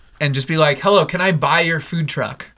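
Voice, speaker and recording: A man speaks at a fairly high pitch with fairly even intonation. Background noise can be clearly heard. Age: 20s. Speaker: podcast co-host. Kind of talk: casual chat.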